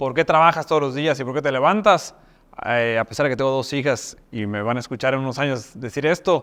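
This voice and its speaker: A man with a Mexican accent, medium in pitch, at a moderate pace, with ordinary pitch variation. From Mexico, Mexico City and Yucatán. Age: 30s. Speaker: university rector. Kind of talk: talk-style self introduction. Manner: hesitant fillers (eh).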